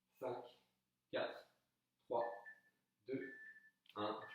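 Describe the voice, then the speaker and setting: The voice belongs to a man. The room adds audible echo. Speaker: fitness coach. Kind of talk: workout instruction. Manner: soft-spoken.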